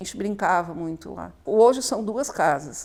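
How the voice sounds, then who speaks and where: At a fairly slow pace, a woman speaks at a medium pitch in an unremarkable speaking voice. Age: 60s. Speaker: local resident, house owner's mother. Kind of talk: documentary interview.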